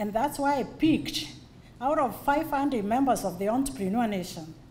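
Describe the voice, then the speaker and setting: A woman talks at a moderate pace with lively intonation and a fairly high pitch. Audible room echo surrounds her voice. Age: 50s. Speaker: business community founder. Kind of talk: birthday speech. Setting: event hall with audience.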